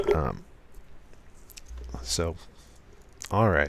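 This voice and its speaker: Noticeable background noise sits behind this recording. A man with a very deep, low pitch speaks at a very slow pace. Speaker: programmer live streaming. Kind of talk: live coding tutorial. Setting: live stream. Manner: soft, smooth delivery; hesitant, many fillers.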